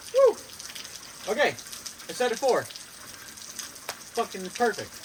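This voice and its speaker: A man speaks in an animated tone at a moderate pace, with noticeable background noise behind him. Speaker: fitness vlogger. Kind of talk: casual vlog. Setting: outdoors.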